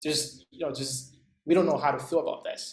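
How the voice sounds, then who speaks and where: A man with a non-native accent and a fairly high pitch. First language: not English. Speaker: instructor. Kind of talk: lecture. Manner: halting, many fillers.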